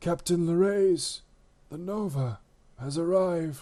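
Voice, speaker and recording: Someone uses a put-on character voice with ordinary pitch variation at a fairly slow pace. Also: man, high pitch for a man. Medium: read story. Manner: nervous, halting.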